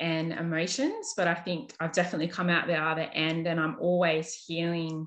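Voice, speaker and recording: A woman speaks in an Australian accent with fairly even intonation. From Australia, New South Wales. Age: 30s. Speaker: nurse and holistic counsellor. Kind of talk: casual interview.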